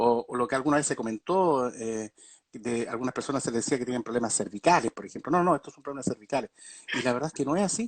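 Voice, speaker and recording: Very fast and at medium pitch, a man speaks with ordinary pitch variation and big swings in loudness, the sound dry and close with no echo. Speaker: doctor specializing in vertigo. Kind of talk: online talk on a medical topic. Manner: many filler words (eh, digamos).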